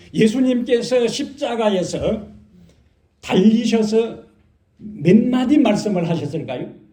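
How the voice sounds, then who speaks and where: This man has a high pitch and a dark, mellow tone, with lively intonation. He talks very slowly with long, frequent pauses, and the room echo is audible. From Korea, Gyeongsang region. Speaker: pastor. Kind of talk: sermon. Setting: church.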